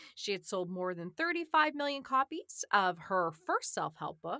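A woman with a bright, sharp tone and lively intonation sounds animated and playful, captured dry and close with no echo in a very clean recording with a silent background. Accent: American. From South Shore of Massachusetts. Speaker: podcast host. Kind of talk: casual chat with scripted celebrity birthday reading. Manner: animated, playful.

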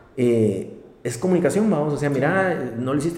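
In a room with audible echo, a man speaks at a fairly quick pace with ordinary pitch variation. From Guatemala. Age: 30s. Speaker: insurance executive. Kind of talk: interview.

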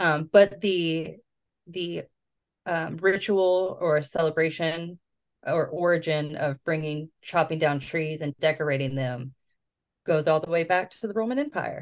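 A woman with a normal speaking voice, fairly low pitch, ordinary pitch variation and a fairly slow pace, against a quiet background. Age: 30s. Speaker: podcast host. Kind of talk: casual storytelling chat. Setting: home recording.

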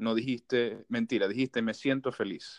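A man of medium pitch with a Maracaibo accent at a fairly slow pace, in a dry, close sound with no echo. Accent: Maracaibo (marabino). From Venezuela, Maracaibo (Zulia). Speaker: podcast host. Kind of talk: casual chat. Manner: casual, slangy.

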